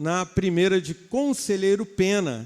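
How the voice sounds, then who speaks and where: This man's high voice moves with ordinary pitch variation while he talks at a very slow pace. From Rio de Janeiro, Baixada Fluminense. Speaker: pastor. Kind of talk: sermon. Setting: church.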